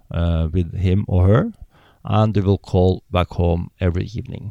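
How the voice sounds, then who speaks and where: In a very clean recording with a silent background, a man with a Norwegian accent and a very deep, low pitch speaks at a moderate pace in a dark, mellow tone, the sound dry and close with no echo. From Norway. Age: 50s. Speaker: polar explorer. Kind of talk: casual interview. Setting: in-person interview. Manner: hesitant, many fillers.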